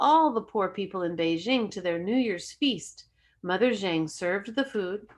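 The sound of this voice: The text is read in an unforced voice. The intonation rises and falls in a lively way.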